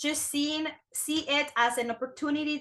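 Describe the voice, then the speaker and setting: A woman projects a raised voice with a bright, sharp tone and fairly even intonation. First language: not English. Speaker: business owner. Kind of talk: interview. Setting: podcast.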